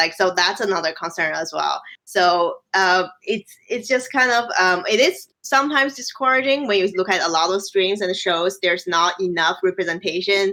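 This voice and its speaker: A woman with a Chinese accent and a bright, sharp tone, with hardly any pauses. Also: medium pitch for a woman, ordinary pitch variation, moderate pace. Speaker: games researcher. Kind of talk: casual chat. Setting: live stream.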